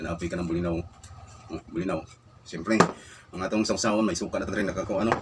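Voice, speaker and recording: Music plays in the background as a man speaks. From Visayas, Philippines. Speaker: food vlogger. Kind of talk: casual eating vlog. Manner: mouth full while talking.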